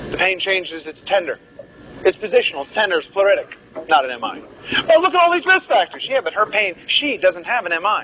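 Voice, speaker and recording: Over noticeable background noise, a high-pitched man talks at a very fast pace in a raised, projected voice, his pitch swinging very widely. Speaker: medical lecturer. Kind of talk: lecture. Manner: animated.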